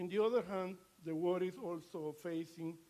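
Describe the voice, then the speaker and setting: A man with a Latin American accent, fairly even in intonation, at a fairly slow pace. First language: Spanish. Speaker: ambassador. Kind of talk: formal speech. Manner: halting.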